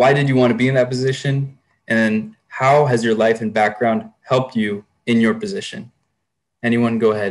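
A man speaks with an American accent. His pace is moderate and his pitch variation ordinary. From Thousand Oaks, California; California. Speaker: student moderator. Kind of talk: panel moderation. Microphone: video call.

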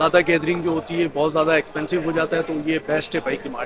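The recording carries noticeable background noise, with a dry sound and no echo. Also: man. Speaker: food vlogger. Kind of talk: casual vlog chat. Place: street. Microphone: phone near.

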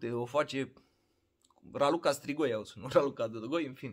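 A man with ordinary pitch variation at a moderate pace against a quiet background. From Romania. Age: 30s. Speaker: vlogger. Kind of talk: casual vlog monologue. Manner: animated. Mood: opinionated, ranting. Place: home room. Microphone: phone near.

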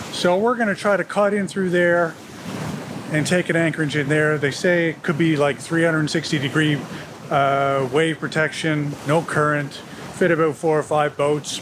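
A man speaks at a high pitch and a moderate pace. Noticeable noise runs in the background. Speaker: boat owner vlogger. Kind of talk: casual vlog chat. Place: boat. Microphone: phone near.

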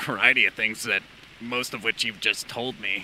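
A man performs a raspy, put-on character voice. Background noise is clearly audible. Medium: machinima. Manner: dry, sardonic.

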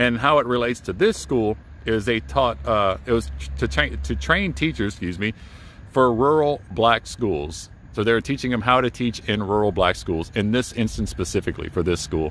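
A man's fairly low voice with vocal fry and very wide pitch swings, at a moderate pace, dry with no echo, over light background noise. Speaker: urban explorer vlogger. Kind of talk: casual vlog narration, reading a sign. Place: open country. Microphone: phone near.

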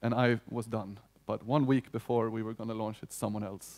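A man with a Swedish accent speaks at medium pitch and a fairly quick pace, in a dark, mellow tone. His intonation is monotone and flat, against a quiet background. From Sweden. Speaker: union economist. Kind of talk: conference talk. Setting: stage with audience. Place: hall. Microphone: headset.

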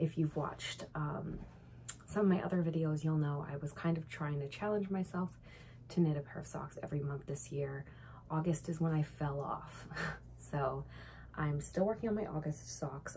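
Over light background noise, a woman with a very deep, low pitch and a dark, mellow tone speaks at a moderate pace with vocal fry and ordinary pitch variation. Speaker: knitting vlogger. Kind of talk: casual vlog chat. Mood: cheerful, relaxed. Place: home room. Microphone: phone near.

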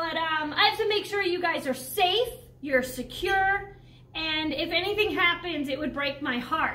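At a moderate pace, a woman projects a raised voice with a bright, sharp tone and lively intonation. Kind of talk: casual informal presentation. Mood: cheerful, joking. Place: hall. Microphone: camera far.

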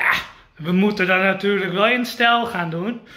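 Ordinary pitch variation in a man's voice, set against audible room echo. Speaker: vlogger. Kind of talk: casual vlog. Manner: halting.

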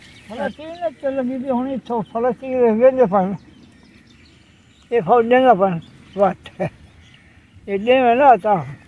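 With a dark, mellow tone, a man speaks at an extremely high pitch with ordinary pitch variation, in a dry sound with no echo. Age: 80s+. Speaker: villager. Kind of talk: interview answer.

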